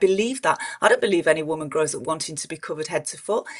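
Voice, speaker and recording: Her intonation rises and falls in a lively way. Noticeable background noise accompanies the woman's speech. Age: 50s. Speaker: political commentator. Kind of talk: panel discussion. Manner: halting, many repeated words.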